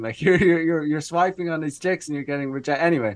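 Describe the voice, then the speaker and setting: A man with an Irish accent speaks against a quiet background. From Ireland. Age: 30s. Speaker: dating coach. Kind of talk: casual chat. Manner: halting.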